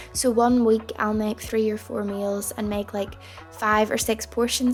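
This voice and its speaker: Over music in the background, a speaker with a Northern Irish accent talks at a moderate pace with fairly even intonation. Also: woman. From Northern Ireland. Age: 20s. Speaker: lifestyle vlogger. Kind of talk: casual talk to camera.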